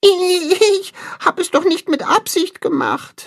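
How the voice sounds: A woman puts on a character voice at an extremely high pitch, speaking slowly with ordinary pitch variation.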